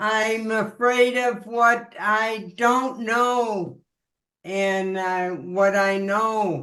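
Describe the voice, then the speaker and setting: A woman speaks at a very slow pace, her pitch fairly high. Her intonation stays fairly even, and her tone is bright and sharp. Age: 80s+. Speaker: questioner. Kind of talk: personal questioning. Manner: halting.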